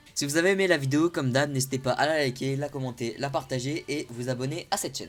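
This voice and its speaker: Very fast, a man talks with a fairly high voice and ordinary pitch variation. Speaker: anime youtuber. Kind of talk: improvised vlog explainer. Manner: hesitant, searching for words.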